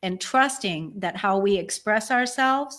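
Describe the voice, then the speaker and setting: Delivered at a fairly slow pace, the voice has an animated tone and lively intonation. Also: woman. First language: German. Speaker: spiritual show co-host. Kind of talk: casual chat. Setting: live online stream.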